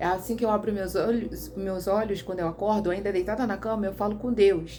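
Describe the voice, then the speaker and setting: A woman with a medium pitch and fairly even intonation speaks amid audible room echo. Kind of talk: casual vlog monologue. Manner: halting.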